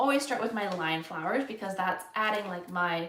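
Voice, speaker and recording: Against noticeable background noise and audible room echo, a woman with a Canadian accent talks at medium pitch and a fairly quick pace, with ordinary pitch variation. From Canada. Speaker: florist, flower arranging instructor. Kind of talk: live-stream tutorial. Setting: live stream. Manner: casual, filler-heavy.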